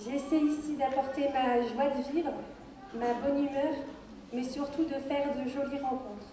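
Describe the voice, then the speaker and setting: Amid noticeable background noise and audible room echo, a woman with a high pitch speaks fairly slowly in a monotone, flat intonation, leaving long, frequent pauses. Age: 20s. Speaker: beauty pageant contestant. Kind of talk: prepared speech. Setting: stage with audience.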